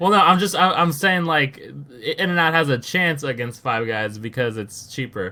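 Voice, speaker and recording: Noticeable background noise accompanies a man who talks in a fairly high pitch at a moderate pace, with lively intonation and hardly any pauses. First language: not English. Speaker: gaming podcast co-host. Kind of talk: casual chat. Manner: animated.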